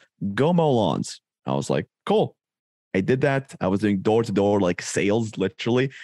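The man's fairly low voice moves with lively intonation at a moderate pace, at very even loudness, in a very clean, dry, close recording with a silent background and no echo. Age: 20s. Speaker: marketing agency owner. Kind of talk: interview.

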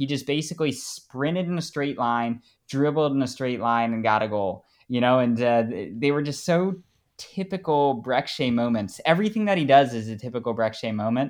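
An unremarkable speaking voice from a man, medium pitch, lively intonation and moderate pace, over a quiet background. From United States. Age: 20s. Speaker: soccer fan. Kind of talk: casual interview.

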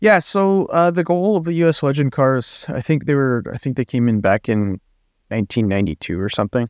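Medium-pitched male speech at a fairly quick pace, with very wide pitch swings, a dry, close sound with no echo and a quiet background. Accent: western Canadian. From western Canada. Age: 20s. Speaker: amateur racing driver and podcast co-host. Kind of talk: casual chat.

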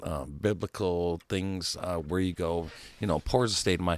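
A man with a very deep, low pitch at a moderate pace, on a very clean recording with a silent background. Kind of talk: angry rant, political tirade. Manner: loud, shouting, fired-up and emphatic, punchy repeated phrases; yelling voice.

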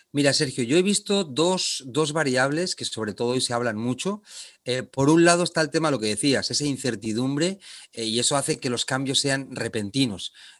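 Lively in intonation and moderate in pace, this is a plain, everyday voice. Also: man, fairly high pitch for a man. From Spain, Barcelona. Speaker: leadership trainer. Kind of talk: interview.

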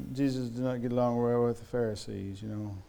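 A man mumbles at a moderate pace in a dark, mellow tone and medium pitch, with fairly even intonation. Audible room echo surrounds his voice. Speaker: preacher. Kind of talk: sermon. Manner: slurred, mumbly speech; halting, stammering repetitions.

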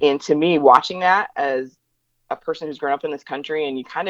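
A woman speaks with an American accent. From northeast Indiana. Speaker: race relations educator. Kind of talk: interview conversation. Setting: phone call.

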